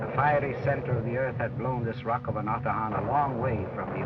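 A man speaks at a medium pitch with ordinary pitch variation while music plays in the background. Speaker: film critic. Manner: informal, opinionated, conversational.

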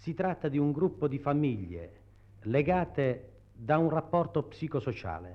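A man talks very slowly in a fairly high voice whose pitch swings very widely. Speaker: researcher of the Matera study commission. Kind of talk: explanatory interview statement. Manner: halting, explanatory, with hesitations.

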